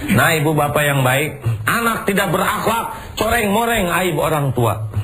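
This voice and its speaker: A man's voice swings very widely in pitch while noticeable noise sits in the background. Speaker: Islamic preacher. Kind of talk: Islamic sermon to an audience.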